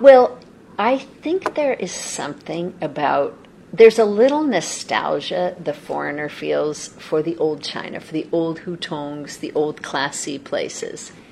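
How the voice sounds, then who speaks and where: Someone speaks with an American accent at a fairly slow pace. Background noise is noticeable. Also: woman. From US West Coast, Los Angeles. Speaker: embassy arts and culture official. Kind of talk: interview.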